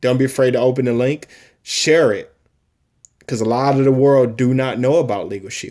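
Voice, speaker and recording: This man speaks at a moderate pace in a medium pitch. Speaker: active duty military member promoting a business. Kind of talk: personal testimony and sales pitch video. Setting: recorded at home, wife downstairs. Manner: loud; long-winded, emphatic.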